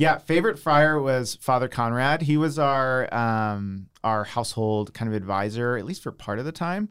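A plain, everyday voice from a man with an American accent, at a medium pitch and moderate pace with hardly any pauses, on a very clean recording with a silent background. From US, suburban Philadelphia (Downingtown). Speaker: software developer and entrepreneur. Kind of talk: casual interview.

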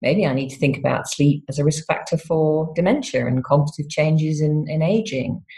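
Pitched fairly low, a woman talks in a somewhat breathy voice. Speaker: university professor in psychology. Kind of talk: interview.

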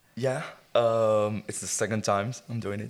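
A man with an Israeli accent and fairly even intonation. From Israel, rural kibbutz. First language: Hebrew. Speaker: football fan. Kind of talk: casual chat.

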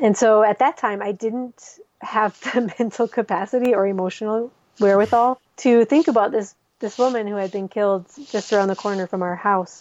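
A woman with an American accent speaks in a normal speaking voice, fairly high-pitched, with ordinary pitch variation and a moderate pace. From US Midwest. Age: 40s. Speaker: expatriate author. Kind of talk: casual interview.

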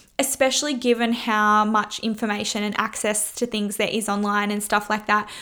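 In an Australian accent, a woman with a fairly high pitch and a bright, sharp tone talks at a moderate pace in a monotone, flat way, with hardly any pauses. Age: 20s. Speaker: personal trainer and podcast host. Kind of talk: casual monologue.

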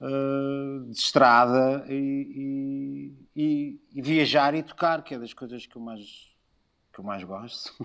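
A man delivers his words at a very slow pace. His intonation stays fairly even. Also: fairly high pitch for a man, quiet background. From Portugal, Lisbon. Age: 50s. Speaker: musician and designer. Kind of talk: casual chat. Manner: halting.

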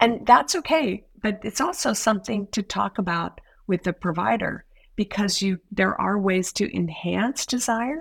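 A woman at medium pitch talks at a fairly slow pace, with vocal fry and lively intonation. The recording is very clean with a silent background, and the sound is dry and close with no echo. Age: 60s. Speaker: women's health nurse practitioner. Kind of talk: podcast interview.

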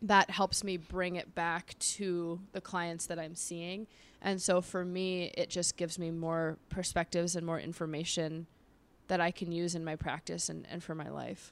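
The recording is very clean, with a silent background. A woman with a fairly low pitch speaks at a moderate pace in a monotone, flat way. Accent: American. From Los Angeles, US West Coast. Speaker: sex therapist. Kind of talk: casual chat. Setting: in studio with hosts.

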